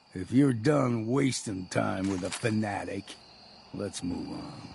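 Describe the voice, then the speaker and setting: Growling in a put-on character voice, a man speaks at a fairly slow pace and medium pitch, with big swings in loudness. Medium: video game. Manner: gruff, blunt.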